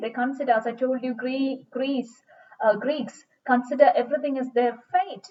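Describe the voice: A woman talks at a high pitch with ordinary pitch variation. Her tone is slightly mellow.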